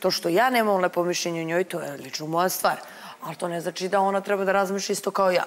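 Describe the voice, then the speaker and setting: Against light background noise, a woman talks at a very fast pace. Her intonation stays fairly even. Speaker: reality show contestant. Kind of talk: studio panel discussion. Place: studio.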